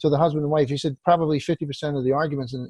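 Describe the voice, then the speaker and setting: A man talks at a very fast pace with a fairly high pitch. He sounds somewhat breathy, and his intonation stays fairly even. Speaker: industry podcast co-host. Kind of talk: casual chat.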